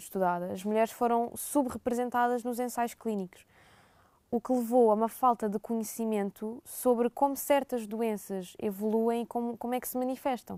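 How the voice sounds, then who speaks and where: A woman's fairly high voice with a dark, mellow tone and a European Portuguese accent, at a moderate pace with fairly even intonation, in a dry, close sound with no echo. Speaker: student. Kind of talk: podcast interview.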